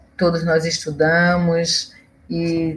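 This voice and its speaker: Somewhat breathy, a woman talks at a fairly low pitch. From Pernambuco, Brazil (Olinda). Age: 50s. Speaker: historian and professor. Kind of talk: interview.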